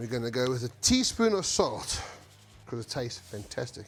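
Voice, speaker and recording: With music in the background, a man talks at a moderate pace, medium pitch and ordinary pitch variation. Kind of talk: casual cooking talk to camera. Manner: casual, profane.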